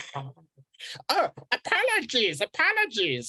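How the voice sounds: Hissing runs through a put-on character voice delivered at a very slow pace.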